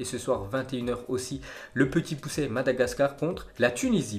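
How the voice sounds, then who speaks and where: Somewhat breathy, a man talks with lively intonation over light background noise. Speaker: football news youtuber. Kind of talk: commentary. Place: home room.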